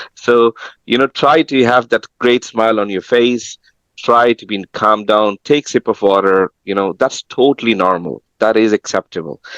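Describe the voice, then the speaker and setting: With a non-native accent, a man speaks at a moderate pace and a medium pitch, his pitch varying in an ordinary way, in a dry, close sound with no echo. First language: not English. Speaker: tech professional giving career advice. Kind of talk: webinar panel talk. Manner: halting, repeats words.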